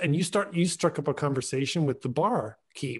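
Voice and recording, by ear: Delivered at a moderate pace, the voice has lively intonation and a slightly husky edge. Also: man.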